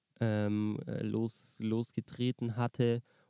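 The dark, mellow voice stays monotone and flat on a very clean recording, dry and close with no echo and a silent background. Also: man. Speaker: music podcast co-host and musician. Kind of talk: casual chat. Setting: in a parked car by a lake.

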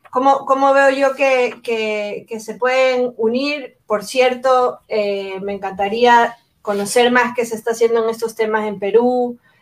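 A woman's fairly high voice, very slow yet with hardly any pauses, and fairly even in intonation. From Ecuador, Guayaquil. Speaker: anthropologist and education innovator. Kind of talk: interview conversation.

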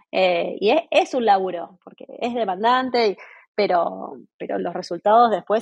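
A woman with vocal fry talks at a fairly slow pace in a medium pitch with ordinary pitch variation. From Argentina. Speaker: entrepreneur and decorator. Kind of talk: interview.

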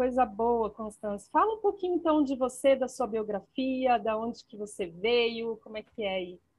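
A woman talks in an unremarkable speaking voice at a fairly high pitch and a moderate pace, with hardly any pauses. Her intonation is lively, and her loudness swings a lot. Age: 40s. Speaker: podcast host. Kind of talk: interview.

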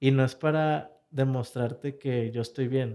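This man has a dark, mellow tone and a medium pitch. He talks at a fairly slow pace. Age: 20s. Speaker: young entrepreneur. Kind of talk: interview. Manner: halting.

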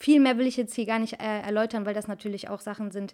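An ordinary speaking voice from a woman, fairly high in pitch with fairly even intonation, in a very clean recording with a silent background. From Cologne, Germany. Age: 20s. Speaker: hairdresser podcast host. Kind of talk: casual personal monologue.

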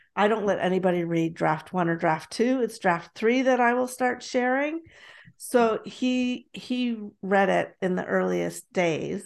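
An unremarkable speaking voice with a Canadian accent moves at a fairly slow pace with lively intonation against a quiet background. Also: woman, medium pitch for a woman. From Toronto, Canada. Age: 50s. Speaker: podcast host and author. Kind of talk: casual chat. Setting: video call.

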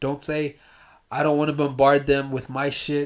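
The voice stays flat and monotone. It moves at a fairly slow pace. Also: man. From US, raised from age two by Ethiopian/Eritrean immigrant parents. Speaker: drug counselor. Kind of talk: casual chat.

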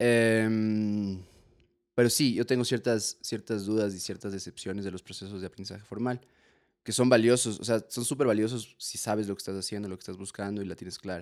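With a normal speaking voice, a man talks at a fairly quick pace in a fairly low pitch, his intonation fairly even but his loudness swinging widely, on a very clean recording with a silent background. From Ecuador. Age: 20s. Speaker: comedian and musician. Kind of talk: casual chat.

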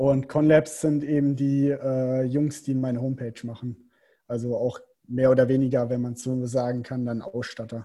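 This man talks at a moderate pace. His intonation is monotone and flat. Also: medium pitch for a man. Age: 20s. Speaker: professional triathlete. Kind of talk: casual interview.

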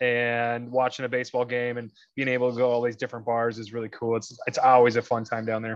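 In an American accent, the speaker talks at a fairly quick pace over a quiet background. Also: man. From US Midwest. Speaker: auto detailer. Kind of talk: casual chat. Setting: video call.

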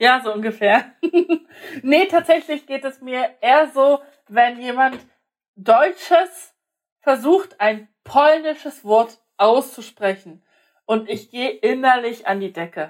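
A woman's high voice with lively intonation, a very slow pace and long, frequent pauses. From Germany, partly raised in Poland. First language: Polish (speaking German). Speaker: podcast co-host. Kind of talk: casual chat. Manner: animated.

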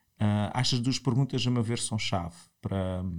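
Very clean recording and silent background for a medium-pitched man at a moderate pace. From Portugal, Algarve (Portimão). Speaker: entrepreneur, company founder and CEO. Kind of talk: interview. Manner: halting, many repetitions and fillers.

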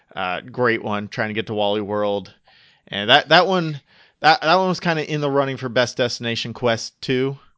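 Lively in intonation, a man with an American accent talks at a medium pitch in a plain, everyday voice. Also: moderate pace. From upstate New York. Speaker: podcast host. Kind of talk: casual chat.

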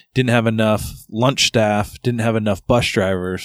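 On a very clean recording with a silent background, a man with a normal speaking voice speaks at a fairly low pitch with fairly even intonation. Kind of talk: casual banter, profane, comedic podcast chat. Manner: relaxed, conversational.

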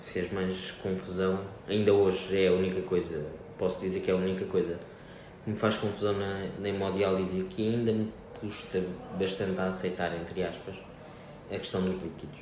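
A man with a very deep, low voice speaks at a moderate pace in a flat monotone, leaving long, frequent pauses. Room echo is audible and background noise is noticeable. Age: 20s. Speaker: hemodialysis patient, wheelchair athlete. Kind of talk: interview. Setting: hemodialysis clinic. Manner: hesitant.

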